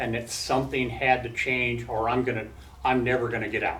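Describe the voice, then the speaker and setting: This man speaks at a moderate pace and medium pitch with vocal fry and flat, monotone intonation, and audible room echo surrounds him. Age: 60s. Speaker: former prisoner and recovering addict speaking to students. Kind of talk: talk and Q&A with college class. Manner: halting, with many fillers and restarts.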